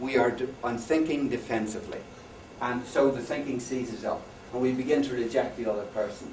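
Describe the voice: Someone is doing plain reading aloud. Ordinary pitch variation runs through it.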